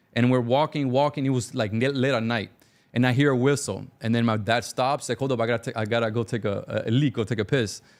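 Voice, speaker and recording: A man with a Cuban-American accent talks very fast at a medium pitch with fairly even intonation, on a very clean recording with a silent background. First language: Spanish. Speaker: business owner. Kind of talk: interview storytelling.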